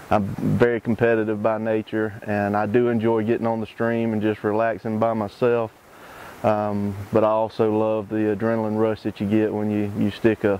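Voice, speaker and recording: A man's fairly low voice moves at a moderate pace, its intonation monotone and flat. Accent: Southern US. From US South, Georgia (Lawrenceville). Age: 40s. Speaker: competitive fly fisherman. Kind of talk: interview monologue. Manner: casual, with many fillers (um, uh).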